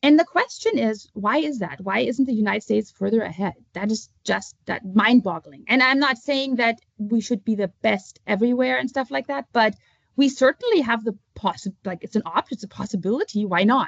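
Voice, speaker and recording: A woman's fairly high voice with vocal fry, a German accent, lively intonation and a moderate pace. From Germany. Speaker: author and homeschooling parent. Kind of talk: interview. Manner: halting.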